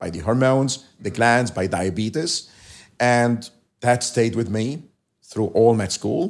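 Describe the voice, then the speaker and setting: A man of medium pitch speaks with an Arabic accent at a fairly slow pace. The recording is very clean, with a silent background. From Lebanon, outskirts of Beirut. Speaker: endocrinologist and medical professor. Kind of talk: interview.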